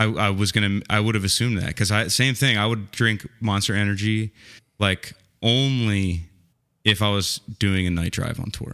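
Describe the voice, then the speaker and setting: Bright and sharp in tone, a man's fairly low voice keeps fairly even intonation at a moderate pace. The recording is very clean, with a silent background. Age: 30s. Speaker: rock band frontman and podcast host. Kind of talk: casual chat.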